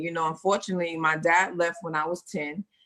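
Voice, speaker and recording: A woman with a New York accent speaks at a very fast pace and a fairly low pitch. Her tone is animated, bright and sharp. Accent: New York (Bronx). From US Northeast, Bronx, New York. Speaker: actress and first-time author. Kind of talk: interview.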